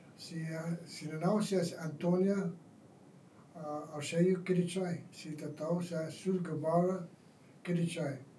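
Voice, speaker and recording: Amid noticeable background noise and audible room echo, a man with a high pitch speaks in monotone, flat intonation. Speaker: war veteran. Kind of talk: oral history interview. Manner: halting.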